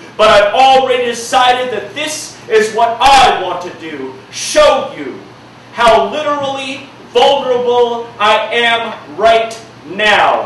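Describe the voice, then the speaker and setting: A man's extremely high-pitched voice at a very slow pace, with ordinary pitch variation, big swings in loudness, noticeable background noise and audible room echo. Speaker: spoken word poet. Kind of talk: spoken word performance. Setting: stage with audience. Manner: projecting.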